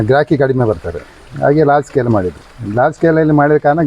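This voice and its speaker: Over noticeable background noise, a man talks with lively intonation at a fairly high pitch. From Dakshina Kannada, coastal Karnataka (family from Kerala). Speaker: farmer. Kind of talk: interview.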